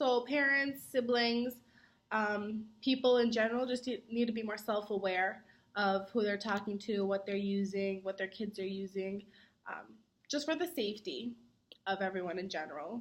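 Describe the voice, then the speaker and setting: With ordinary pitch variation and a moderate pace, a woman speaks in a fairly high pitch. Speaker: college student. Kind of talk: mock interview. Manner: projects voice.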